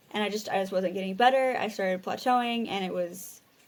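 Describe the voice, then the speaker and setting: Fairly even intonation from a woman speaking at a medium pitch. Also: very clean recording, silent background. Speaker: language learner vlogger. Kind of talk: casual vlog monologue. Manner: halting, many repeated words.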